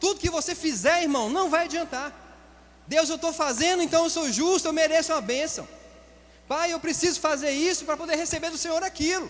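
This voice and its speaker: At a fairly quick pace, a man talks with an extremely high pitch and fairly even intonation. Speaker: pastor. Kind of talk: sermon. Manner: fast.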